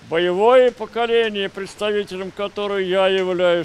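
The man has a high pitch and fairly even intonation. He talks at a fairly slow pace. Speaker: war veteran. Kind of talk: speech at ceremony. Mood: solemn, dignified. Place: street.

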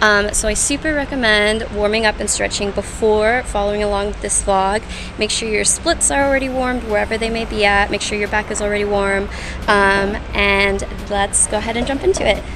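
Over noticeable background noise, a woman talks at a fairly quick pace with fairly even intonation. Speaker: fitness instructor. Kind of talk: tutorial intro. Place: street. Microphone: phone near.

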